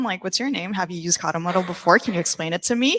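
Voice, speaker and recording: A woman with a non-native accent speaks in a bright, sharp tone with lively intonation. The recording is very clean and dry, close with no echo and a silent background. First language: not English. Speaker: workshop participant. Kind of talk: group presentation. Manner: casual.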